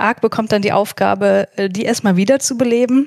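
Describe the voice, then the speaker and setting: This woman has a plain, everyday voice, talking at a moderate pace with fairly even intonation in a dry, close recording with no echo. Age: 30s. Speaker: psychologist and podcaster. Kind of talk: casual discussion.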